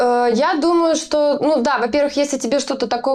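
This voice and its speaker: Pitch varies in an ordinary way while the speech moves at a moderate pace. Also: woman. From Russia, small town. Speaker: metal band vocalist. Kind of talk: interview. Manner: hesitant, many filler sounds.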